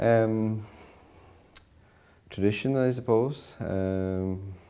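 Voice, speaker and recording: Speaking very slowly with a western Irish accent, a man uses a fairly low pitch, a dark, mellow tone and fairly even intonation amid audible room echo. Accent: Irish (west of Ireland). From Ireland, Connemara, County Galway. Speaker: professor. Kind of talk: interview.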